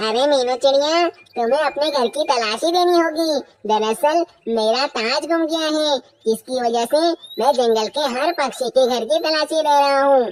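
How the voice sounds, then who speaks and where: This is a cartoonish character voice that sounds female. Its pitch is high. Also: moderate pace. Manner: imperious.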